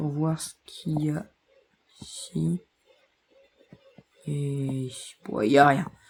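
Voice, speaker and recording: A woman's very deep, low-pitched, somewhat breathy voice at a very slow pace, with long, frequent pauses, big swings in loudness, and ordinary pitch variation. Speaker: gaming streamer. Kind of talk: live gameplay commentary.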